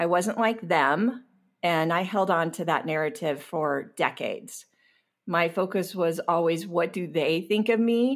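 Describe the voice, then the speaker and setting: On a very clean recording with a silent background, a woman with a fairly low pitch speaks at a fairly slow pace with ordinary pitch variation. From US West Coast, Long Beach, California. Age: 50s. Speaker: sobriety coach and podcast host. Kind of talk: personal testimony interview.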